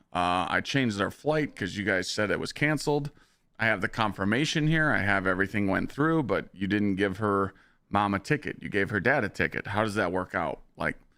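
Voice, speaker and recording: On a very clean recording with a silent background, a man with a fairly low pitch and a bright, sharp tone speaks at a fairly quick pace with lively intonation. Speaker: gaming live streamer. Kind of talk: casual live stream chat. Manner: animated storytelling.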